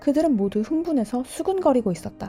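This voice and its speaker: Music in the background behind lively intonation at a moderate pace. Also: woman. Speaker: teacher and audiobook narrator. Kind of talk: audiobook narration, bilingual Korean-English, sleep listening.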